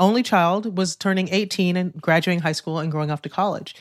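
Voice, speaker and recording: An ordinary speaking voice from a woman at medium pitch, with ordinary pitch variation and a very clean recording against a silent background. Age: 50s. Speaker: author. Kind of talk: interview.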